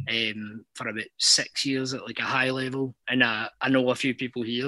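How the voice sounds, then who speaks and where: With a Scottish accent, a man speaks at medium pitch in a bright, sharp tone. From Scotland. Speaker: caller. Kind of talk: casual chat.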